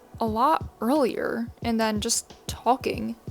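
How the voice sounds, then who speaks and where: A woman talks at a very slow pace as music plays in the background. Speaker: commentary youtuber. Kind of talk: casual commentary monologue. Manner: casual, filler-heavy.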